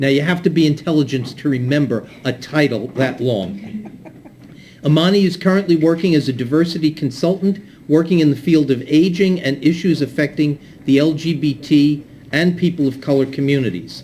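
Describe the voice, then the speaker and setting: A plain, everyday voice: a man at a fairly high pitch, moderate pace, and ordinary pitch variation. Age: 60s. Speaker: event moderator. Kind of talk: speaker introduction at community event.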